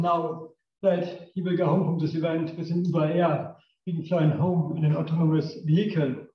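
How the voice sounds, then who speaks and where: Heard with audible room echo, a man speaks at a high pitch and a moderate pace. His tone is dark and mellow. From northern Germany. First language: German. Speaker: engineer, company technical director. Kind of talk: technical lecture. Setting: lecture room with audience.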